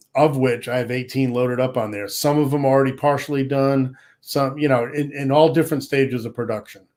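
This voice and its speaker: With an American accent, a man speaks in a normal speaking voice at a medium pitch, keeping his intonation fairly even. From Rhode Island, US (Pawtucket). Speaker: luthier and songwriter. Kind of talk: casual interview chat.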